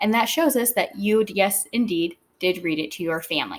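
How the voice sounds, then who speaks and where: This woman has a plain, everyday voice at a medium pitch, with lively intonation. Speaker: teacher. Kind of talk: tutorial.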